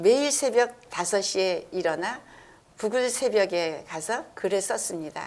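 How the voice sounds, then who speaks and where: At a very slow pace, a woman of medium pitch speaks with lively intonation. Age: 70s. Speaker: counseling specialist, author and lecturer. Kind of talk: interview answer, reading out prepared answers.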